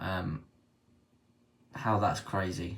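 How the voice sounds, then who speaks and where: A man speaks somewhat breathily with a British accent. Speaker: precious metals livestreamer. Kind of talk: live stream chat.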